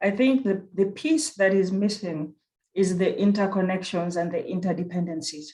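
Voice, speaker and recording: A woman speaks with a dark, mellow tone at a moderate pace. Her voice sits at a medium pitch with ordinary pitch variation. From Kenya (Nairobi). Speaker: university research director. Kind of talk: conference presentation. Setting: virtual conference.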